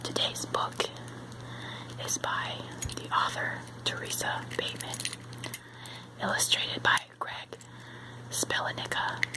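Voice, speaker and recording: A woman's whisper, fairly slow with long, frequent pauses, over noticeable background noise. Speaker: ASMR storyteller. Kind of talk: bedtime story reading. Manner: soft-spoken, whispered.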